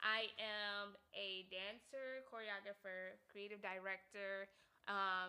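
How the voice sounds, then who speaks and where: A woman's bright, sharp voice at a very slow pace. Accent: Southern California. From US West Coast, South Central Los Angeles. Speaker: podcast host. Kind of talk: casual chat. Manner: animated.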